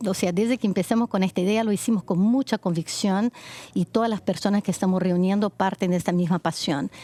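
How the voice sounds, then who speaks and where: A woman with a Brazilian accent, dark and mellow in tone, at a fairly quick pace, in a dry, close recording with no echo. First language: Portuguese (speaking Spanish). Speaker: foundation project leader, women's rights advocate. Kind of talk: TV interview.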